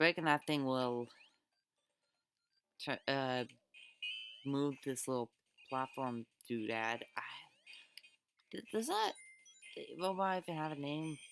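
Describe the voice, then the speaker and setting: Over music in the background, a woman with a very deep, low pitch uses lively intonation and takes long, frequent pauses. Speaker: gaming video creator. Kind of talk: let's play commentary. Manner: halting with many fillers and restarts; casual and enthusiastic.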